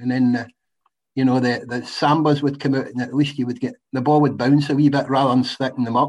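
Fairly quick and fairly even in intonation, a man speaks with a west of Scotland accent. His pitch is fairly high. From Scotland, west. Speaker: retired footballer. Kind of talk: casual chat.

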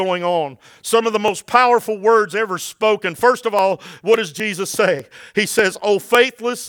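In a natural voice, the text is read aloud.

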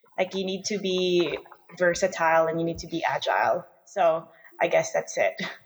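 Noticeable background noise sits behind a woman who talks at a moderate speed. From Philippines. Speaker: startup co-founder. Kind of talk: interview. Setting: remote recording from separate studio.

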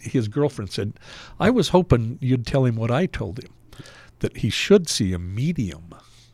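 A man with a plain, everyday voice, medium in pitch, in an American accent at a moderate pace, on a very clean recording with a silent background. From Salt Lake City, Utah. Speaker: deli owner. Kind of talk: casual chat.

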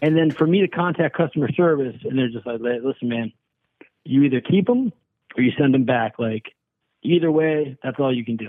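In an ordinary speaking voice, a man speaks at a medium pitch with ordinary pitch variation. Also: fairly quick pace. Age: 40s. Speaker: prank call target. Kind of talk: complaint phone call. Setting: phone call.

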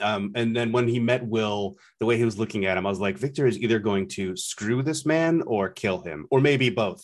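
A plain, everyday voice from a man, medium-pitched with lively intonation, at a moderate pace over a quiet background. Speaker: podcast host. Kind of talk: casual chat. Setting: remote recording.

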